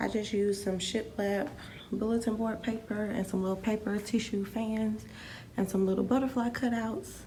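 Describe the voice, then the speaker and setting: Whispering quietly, a woman speaks at a moderate pace with very even loudness. Room echo is audible. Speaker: teacher and vlogger. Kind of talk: casual vlog tour. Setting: empty classroom.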